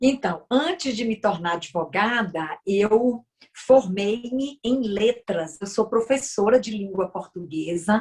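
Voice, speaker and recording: Fairly high, somewhat breathy female voice at a very slow pace with lively intonation. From Brazil, Bahia. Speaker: lawyer and politician. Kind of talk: interview.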